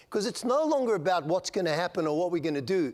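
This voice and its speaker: Lively intonation comes through on a very clean recording with a silent background. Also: man. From South Africa. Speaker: conference speaker, strategy consultant. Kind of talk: conference keynote. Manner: conversational, with fillers and repetitions.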